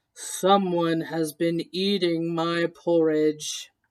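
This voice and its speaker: A put-on character voice sits at a middle pitch. It moves at a very slow pace with flat, monotone intonation. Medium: read story.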